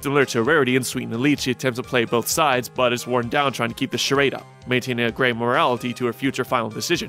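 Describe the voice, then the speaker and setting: Over music in the background, a man talks at a very fast pace with fairly even intonation. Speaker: TV episode reviewer. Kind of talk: episode review narration.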